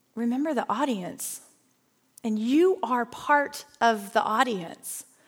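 A woman puts on a character voice, high-pitched and resonant. She talks at a fairly slow pace. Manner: authoritative.

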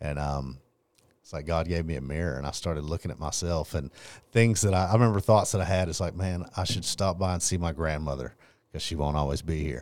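A man's very deep, low voice in an East Texas accent, fairly quick with ordinary pitch variation, on a very clean recording with a silent background. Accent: East Texas Southern US. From Texas, Longview (East Texas). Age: 30s. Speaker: painting business owner. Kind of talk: testimony.

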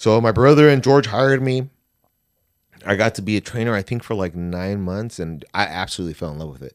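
On a very clean recording with a silent background, a man with an American accent speaks in an unremarkable speaking voice at fairly low pitch, with lively intonation and big swings in loudness. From California, US West Coast. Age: 30s. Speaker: massage therapist. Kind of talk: casual chat.

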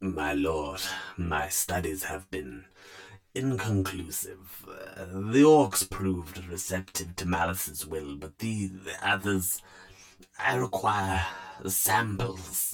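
A put-on character voice, creaky and wheezy. It moves at a very slow pace. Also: man, very deep, low pitch for a man. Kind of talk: grimdark horror reading. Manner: sly, scheming, fawning.

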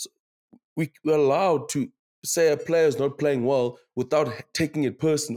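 This man has a fairly high pitch and a dark, mellow tone. He speaks with a South African accent and ordinary pitch variation. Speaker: rugby podcast co-host. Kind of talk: casual chat.

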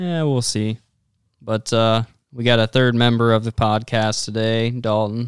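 A plain, everyday voice at a fairly slow pace with fairly even intonation. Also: man, medium pitch for a man, dry, close sound with no echo. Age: 20s. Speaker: podcast host, hunter. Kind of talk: casual chat.

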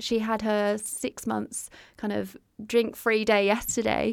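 Someone with an English accent is heard on a very clean recording with a silent background. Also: woman. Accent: English accent noticeable in Australia. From UK. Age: 30s. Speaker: artist and art therapist. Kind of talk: interview, personal testimony. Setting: small home podcast studio in a shower cubicle.

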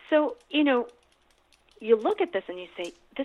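Very wide pitch swings in an American accent. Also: woman. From United States. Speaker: lawyer and activist. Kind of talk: interview.

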